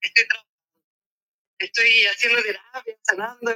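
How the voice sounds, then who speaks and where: With a dry, close sound and no echo, a woman speaks in a raised, projected voice that has a bright, sharp tone. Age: 40s. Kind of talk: casual chat.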